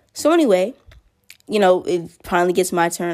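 A woman with an unremarkable speaking voice. She speaks at a moderate pace and medium pitch. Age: young. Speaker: storyteller vlogger. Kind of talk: story time monologue. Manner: casual and rambling with fillers.

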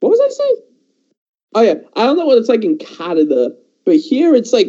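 The speaker is a man talking at a moderate pace. His pitch swings very widely. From England. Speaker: YouTuber, film commentator. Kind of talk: casual chat.

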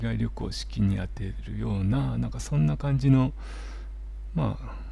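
In a room with audible echo, a man with a very deep, low pitch speaks at a moderate pace with ordinary pitch variation. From Japan, Miyagi. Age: 40s. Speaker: holistic therapist. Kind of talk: interview. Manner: soothing, calm.

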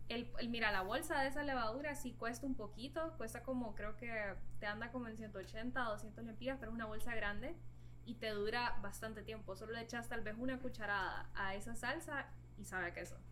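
A woman talks at a fairly quick pace. Audible room echo is present. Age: 20s. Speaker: vegan cook. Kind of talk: casual interview.

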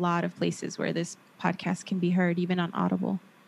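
Speaking at a fairly quick pace, a woman talks. She has a Southern California accent. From Los Angeles, San Fernando Valley. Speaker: therapist and podcaster. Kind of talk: casual interview.

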